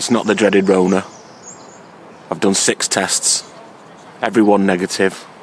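Faint noise sits behind a man who speaks low and fairly slowly, his pitch barely moving.

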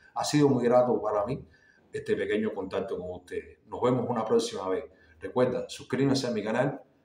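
With audible room echo, a man talks at a moderate pace. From Cuba. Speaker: artist and YouTuber; visual arts vlogger. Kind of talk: casual monologue to camera. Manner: halting, many fillers and repetitions. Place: home room. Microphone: phone near.

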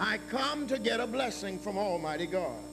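There is noticeable background noise. A man speaks over it at a fairly slow pace. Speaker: pastor. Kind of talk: sermon. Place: church. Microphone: podium.

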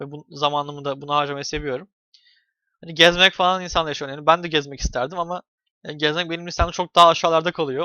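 Rushing at a very fast pace, a man speaks in a fairly high pitch with monotone, flat intonation. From Turkey. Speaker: YouTuber. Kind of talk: casual vlog monologue. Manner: hesitant with many fillers.

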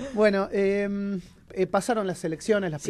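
A man with an Argentine accent, a dark, mellow tone and a moderate pace. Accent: Argentine Spanish (Rioplatense). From Argentina. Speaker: radio host. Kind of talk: radio interview. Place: studio. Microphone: studio mic.

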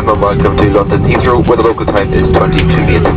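A man speaks over loud background music. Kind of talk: in-flight announcement. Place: plane.

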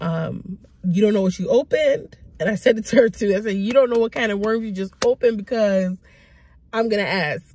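At a moderate pace, a woman speaks at a medium pitch with a slightly mellow tone and ordinary pitch variation.

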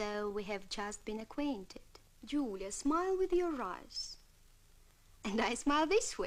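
A woman speaks at a very slow pace. Her high pitch swings very widely. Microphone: old recording.

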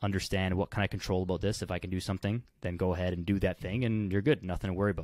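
Very deep, low male pitch, fairly even intonation, dry sound with no echo, quiet background. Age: 20s. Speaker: kinesiologist and fitness coach; fitness coach. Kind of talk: casual chat. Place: home room. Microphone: studio mic.

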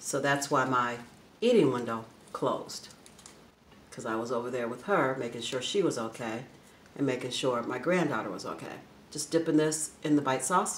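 Moderate pace and ordinary pitch variation, with long, frequent pauses, light background noise and audible room echo. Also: woman, very deep, low pitch for a woman. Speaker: food vlogger. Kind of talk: casual vlog chat while eating. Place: home room. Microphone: phone near.

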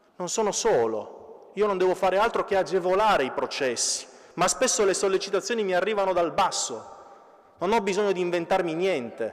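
A man with a high pitch talks at a fairly quick pace with ordinary pitch variation against a quiet background. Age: 30s. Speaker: municipal councillor. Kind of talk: conference speech. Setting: stage with audience. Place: church. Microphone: podium.

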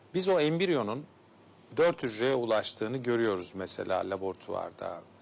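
A man talks at a moderate pace. His pitch makes very wide swings. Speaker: gynecologist and fertility specialist. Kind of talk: TV health interview. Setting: studio. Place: studio. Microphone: lapel.

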